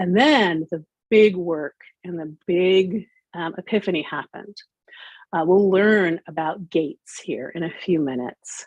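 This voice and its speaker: A woman's unremarkable speaking voice, fairly low in pitch with ordinary pitch variation, at a fairly slow pace with big swings in loudness and a dry, close sound with no echo. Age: 60s. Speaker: business coach and corporate manager. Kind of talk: interview.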